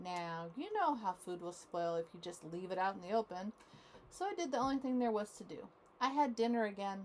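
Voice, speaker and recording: A woman talks at a fairly quick pace with lively intonation and a medium pitch. She has an ordinary speaking voice. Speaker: grandmother reading to grandchildren. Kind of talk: read-aloud children's story. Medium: read story.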